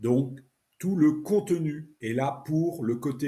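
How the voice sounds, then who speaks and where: This voice is somewhat breathy. Its tone is dark and mellow. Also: man. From France. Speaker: French language teacher podcaster. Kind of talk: podcast introduction. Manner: casual, natural spoken French.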